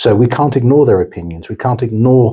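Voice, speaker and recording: A man speaks at a very fast pace in a dark, mellow, somewhat breathy voice. His pitch variation is ordinary, and the background is quiet. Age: 60s. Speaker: corporate executive. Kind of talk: interview.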